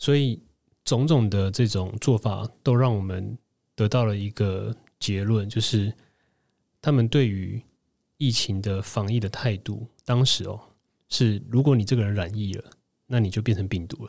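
A man speaks at a fairly slow pace in a fairly low pitch with ordinary pitch variation. Long, frequent pauses break up his speech in a very clean recording with a silent background. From Taiwan. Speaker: former food-industry marketer, interviewee. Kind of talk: interview testimony.

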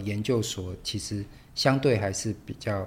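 He is a man with a normal speaking voice. His pace is fairly slow. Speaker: podcast host and literature teacher. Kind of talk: casual interview.

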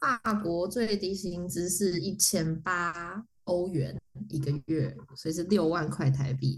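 Speaking at a very slow pace, a woman with a fairly low pitch shows vocal fry and ordinary pitch variation. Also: big swings in loudness. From Taiwan. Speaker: motion designer. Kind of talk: casual chat. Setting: remote call from France. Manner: animated. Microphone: poor cross-border recording quality.

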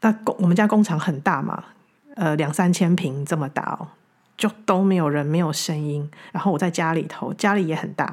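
A woman speaks with a Taiwanese accent at a moderate pace. Her pitch is fairly low, with ordinary variation. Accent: Taiwanese Mandarin. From Taiwan, Taichung. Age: 40s. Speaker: podcast host, spiritual teacher. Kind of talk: reflective spiritual monologue. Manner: halting, frequent repetitions.

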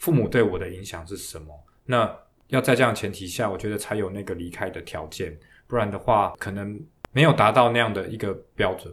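Somewhat breathy, a man talks at a fairly quick pace with ordinary pitch variation. His loudness swings widely. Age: 40s. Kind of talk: podcast interview. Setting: studio.

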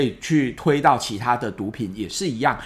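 A man speaks at a moderate pace. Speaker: psychiatrist podcast host. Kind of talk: solo science explainer. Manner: conversational with frequent fillers.

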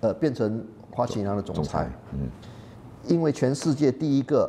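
At a fairly slow pace, a man speaks in a dark, mellow tone of medium pitch, with vocal fry and lively intonation. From Malaysia. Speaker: professor. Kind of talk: interview.

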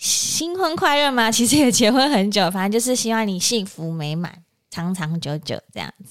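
A woman talks in a normal speaking voice at a medium pitch and a moderate pace. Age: 30s. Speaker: podcast co-host. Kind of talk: casual chat.

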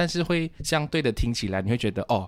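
Here a man speaks with ordinary pitch variation. His pace is fairly quick. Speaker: podcast host, guest here. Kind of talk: casual chat.

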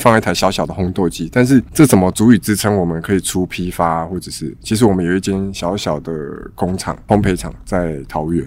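A man with a very deep, low voice at a fairly quick pace, with ordinary pitch variation. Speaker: coffee bean supplier. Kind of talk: casual chat. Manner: halting.

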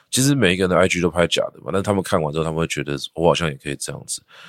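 Very deep and low, a man's voice comes through dry and close with no echo in a very clean recording with a silent background. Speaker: teacher and education entrepreneur. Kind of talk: interview.

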